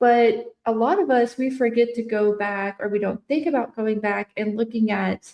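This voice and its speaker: A woman speaks at a fairly slow pace with a fairly high pitch and ordinary pitch variation, in a plain, everyday voice. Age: 30s. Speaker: trauma-informed speaker and coach. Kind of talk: casual interview conversation.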